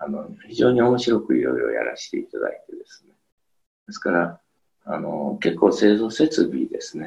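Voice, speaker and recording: A man's loudness swings widely as he talks at a moderate tempo. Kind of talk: interview. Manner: hesitant, many fillers.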